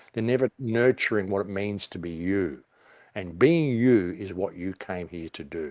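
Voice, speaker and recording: With an Australian accent, a man talks at a moderate pace in a fairly low pitch, his intonation lively and his loudness swinging widely, in a very clean recording with a silent background and a dry, close sound with no echo. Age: 60s. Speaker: conspiracy commentator. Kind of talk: podcast interview. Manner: animated.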